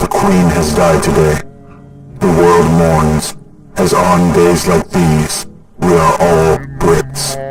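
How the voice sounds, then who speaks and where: A put-on character voice from a man, very deep and low in pitch, delivered at a very slow pace over loud background noise. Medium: read story. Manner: monotone, depressed-sounding.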